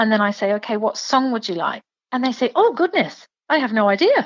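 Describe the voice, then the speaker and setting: A woman's fairly high, lively voice at a fairly quick pace, with an English accent. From England. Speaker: singer and performer. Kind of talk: interview.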